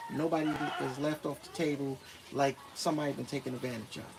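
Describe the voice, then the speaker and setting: Against noticeable background noise, a man with an American accent speaks at a fairly high pitch. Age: 50s. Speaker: retired expat vlogger. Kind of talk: livestream Q&A. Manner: casual, conversational.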